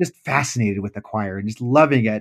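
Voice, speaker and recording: A man talks at a very fast pace. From United States, moved around as military child. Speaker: choir singer and schoolteacher. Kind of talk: interview. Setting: video call.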